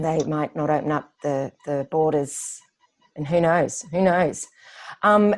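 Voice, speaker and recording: At a very slow pace, a woman speaks with an Australian accent. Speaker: running coach. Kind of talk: podcast interview questions.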